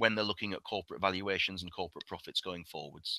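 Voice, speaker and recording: A man with a British accent, a fairly low pitch and a bright, sharp tone, very fast with fairly even intonation, in a dry, close sound with no echo. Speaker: investment director presenting a webinar. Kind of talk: webinar presentation with Q&A. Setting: online webinar.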